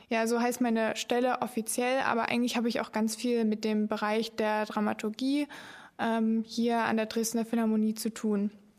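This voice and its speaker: The intonation is monotone and flat, with very even loudness. The pace is moderate. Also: woman, fairly high pitch for a woman. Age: young. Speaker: podcast host, cultural volunteer. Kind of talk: casual podcast chat.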